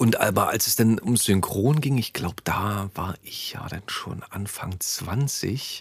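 A man talks at a very slow pace, yet with hardly any pauses. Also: medium pitch for a man, ordinary pitch variation. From Berlin. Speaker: podcast host and voice actor. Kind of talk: casual chat. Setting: studio.

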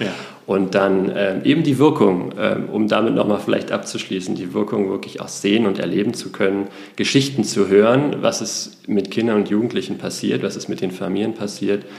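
A man talks at a moderate pace with a fairly low pitch and ordinary pitch variation. Audible room echo and noticeable background noise surround him. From Berlin, Germany. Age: 40s. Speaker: nonprofit managing director. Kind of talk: interview. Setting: studio, in person in Hamburg.

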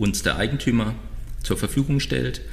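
The voice belongs to a man. Audible echo from the room hangs on his words. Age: 50s. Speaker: recycling company founder. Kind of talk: podcast interview.

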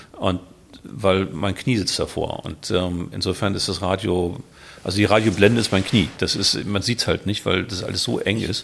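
With a normal speaking voice, this man talks at a moderate pace in a fairly low pitch and fairly even intonation. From Hamburg, northern Germany. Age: 50s. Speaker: classic car collector. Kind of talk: casual chat.

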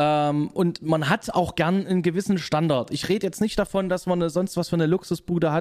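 A man's high-pitched voice at a moderate pace, with fairly even intonation, very even loudness and hardly any pauses. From Saxony, Leipzig. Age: 30s. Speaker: gaming YouTuber and office worker. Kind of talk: casual chat.

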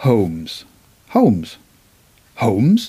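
A man speaks with a Northern Irish accent at a very slow pace. His pitch swings very widely. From Northern Ireland, Belfast. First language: English (speaking German). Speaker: poet and writer. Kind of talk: interview. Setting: at his home desk.

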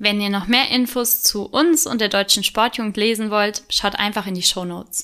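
This woman has a normal speaking voice with a fairly high pitch. She talks at a moderate pace with hardly any pauses. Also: ordinary pitch variation. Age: 20s. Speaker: podcast co-host, volunteer youth sports board member. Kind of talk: scripted podcast intro. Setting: studio, sitting beside co-host.

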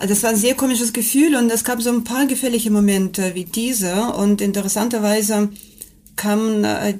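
The voice is somewhat breathy, with a Russian accent and ordinary pitch variation. It moves at a moderate pace. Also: woman. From Russia, Kamchatka. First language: Russian (speaking German). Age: 40s. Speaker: mountain guide and teacher. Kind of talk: interview.

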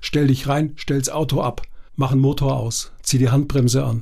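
Somewhat breathy and dark, mellow in tone, a man speaks at a fairly high pitch and a moderate pace. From southwestern Baden-Württemberg. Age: 60s. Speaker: university lecturer and coach. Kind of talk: casual chat. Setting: studio.

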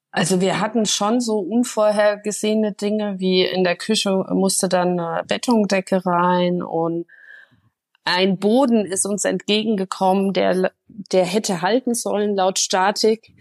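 With an ordinary speaking voice at a medium pitch, a woman talks at a fairly slow pace against a quiet background in a dry, close sound with no echo. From Germany, Hesse near Frankfurt. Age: 30s. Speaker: make-up artist and home renovator. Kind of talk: interview.

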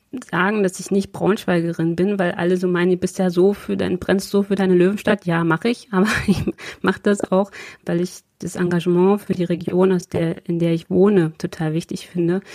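A woman with a dark, mellow tone and a medium pitch speaks at a moderate pace in a monotone, flat intonation. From eastern Germany, Prignitz (Brandenburg). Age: 40s. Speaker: politician. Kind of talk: interview. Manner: halting, many fillers.

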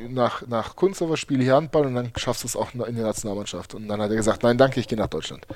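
Over noticeable background noise, a man talks at a very fast pace with hardly any pauses and ordinary pitch variation. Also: medium pitch for a man. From Germany (Berlin, Heidelberg area), born in Uzbekistan. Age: 30s. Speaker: handball player. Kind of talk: casual chat.

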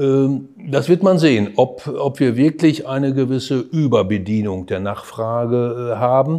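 A man at medium pitch, very slow pace, ordinary pitch variation and hardly any pauses. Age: 60s. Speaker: hospital executive and economist. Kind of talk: podcast interview.

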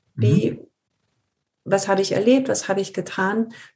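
A woman speaks at medium pitch with ordinary pitch variation. Her tone is dark and mellow, and somewhat breathy. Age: 50s. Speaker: leadership consultant, former HR manager. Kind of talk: interview.

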